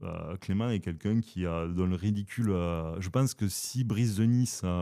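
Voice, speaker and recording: With a southern French accent, a man speaks at a moderate pace in a dark, mellow tone and lively intonation, on a very clean recording with a silent background. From southern France. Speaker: philosophy podcast host. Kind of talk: casual philosophical discussion. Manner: hesitant, many fillers.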